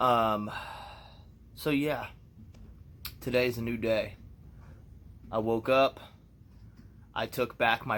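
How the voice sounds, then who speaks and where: A man talks at a fairly slow pace and medium pitch, with long, frequent pauses. His intonation is monotone and flat. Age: 30s. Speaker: vlogger. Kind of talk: personal vlog monologue. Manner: casual, reflective.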